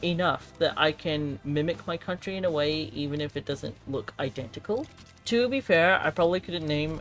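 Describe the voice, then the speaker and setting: Speech at a moderate pace with hardly any pauses plays over music in the background. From New Zealand. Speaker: gaming youtuber. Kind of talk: casual gameplay commentary. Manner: casual, chatty.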